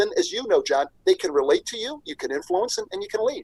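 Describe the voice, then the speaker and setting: The recording of a man talking at a fairly quick pace has a dry, close sound with no echo. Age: 60s. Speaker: business executive and professor. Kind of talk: interview. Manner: animated.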